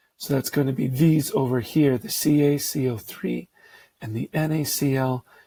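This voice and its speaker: A man speaks in a somewhat breathy voice with a dark, mellow tone and ordinary pitch variation. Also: dry, close sound with no echo. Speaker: science teacher. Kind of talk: lecture.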